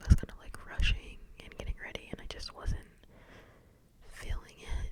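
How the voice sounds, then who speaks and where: Someone is whispering against noticeable background noise. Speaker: ASMR creator. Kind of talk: ASMR whispered ramble. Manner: whispered.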